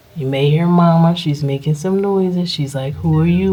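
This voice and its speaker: There is audible room echo. Through it, a woman talks with ordinary pitch variation. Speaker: RV vlogger and animal rescue volunteer. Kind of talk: casual vlog narration. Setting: trailer basement. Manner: casual, animated.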